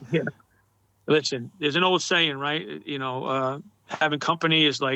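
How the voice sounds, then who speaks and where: A fairly high-pitched man with a New York accent and ordinary pitch variation. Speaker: Masonic motorcycle club leader. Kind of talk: casual interview chat. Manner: fast; animated.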